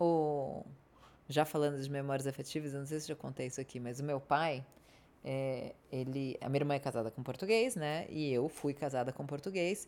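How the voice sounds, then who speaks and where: Speaking at a moderate pace, a woman with a very deep, low pitch and ordinary pitch variation leaves long, frequent pauses. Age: 30s. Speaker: podcast co-host. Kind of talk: casual chat. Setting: studio.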